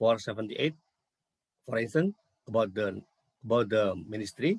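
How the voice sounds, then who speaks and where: A somewhat breathy man at a fairly quick pace with lively intonation, in a dry, close sound with no echo. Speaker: university lecturer. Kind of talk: conference presentation. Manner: halting.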